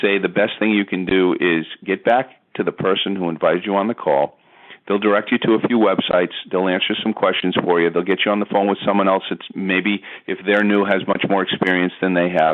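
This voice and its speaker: A man talks at a fairly quick pace in a fairly low voice, his loudness very even. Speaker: network marketing distributor. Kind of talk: sales pitch. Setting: phone call. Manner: fast; animated.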